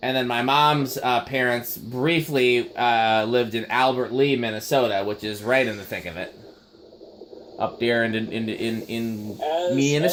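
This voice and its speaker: A man at medium pitch talks with a slight Upper Midwestern accent and ordinary pitch variation. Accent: slight Upper Midwestern, Wisconsin-like. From Midwest, family from Appleton, Wisconsin. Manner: casual, chatty, some filler words and repeats.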